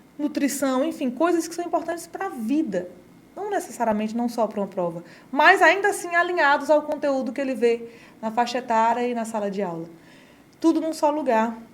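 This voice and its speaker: A woman's high voice at a fairly quick pace, with very wide pitch swings and noticeable background noise. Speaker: education company presenter. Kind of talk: sales pitch. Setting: studio. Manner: fast.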